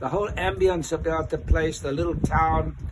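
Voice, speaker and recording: A man talks while noticeable noise runs in the background. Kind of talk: interview answer. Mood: warm, enthusiastic. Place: street. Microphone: phone near.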